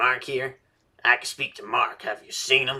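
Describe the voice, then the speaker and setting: A man does a put-on character voice at a moderate pace. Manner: pained, strained.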